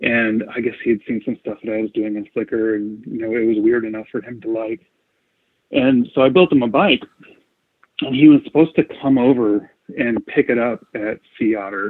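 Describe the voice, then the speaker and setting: A man speaks in a plain, everyday voice at a moderate pace and medium pitch, with ordinary pitch variation and big swings in loudness. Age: 40s. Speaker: bicycle frame builder. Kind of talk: interview. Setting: call.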